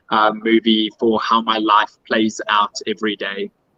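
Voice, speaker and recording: A man with a South African accent is heard in a dry, close sound with no echo. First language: Afrikaans. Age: 30s. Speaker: pageant contestant. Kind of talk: interview.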